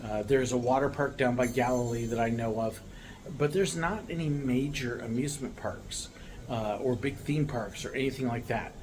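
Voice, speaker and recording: In an American accent, a man talks at medium pitch and a moderate pace with ordinary pitch variation, amid audible room echo and noticeable background noise. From United States. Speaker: vlogger, American living abroad. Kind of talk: casual talk to camera. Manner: relaxed, many filler words.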